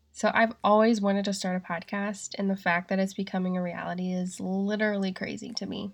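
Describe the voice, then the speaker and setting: Against a quiet background, a woman speaks with a slight Southern US accent. Her medium-pitched voice stays monotone and flat. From Asheville, North Carolina. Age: 20s. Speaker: podcast host. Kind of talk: solo podcast monologue, casual.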